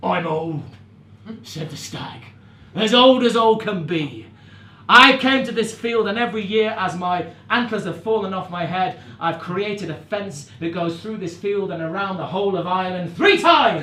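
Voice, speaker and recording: A man with a high pitch speaks at a moderate pace in a raised, projected voice. His pitch varies in an ordinary way. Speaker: storyteller, narrator and musician. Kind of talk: live storytelling to an audience.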